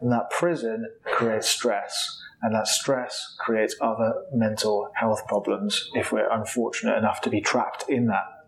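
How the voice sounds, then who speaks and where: A man at a fairly slow pace with very even loudness and hardly any pauses, against noticeable background noise. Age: 30s. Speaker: clinical psychologist, podcast host. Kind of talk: solo educational podcast talk.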